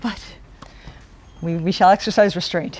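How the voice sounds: A woman talks at a fairly slow pace, her pitch fairly low. Her intonation stays fairly even, and her tone is slightly mellow.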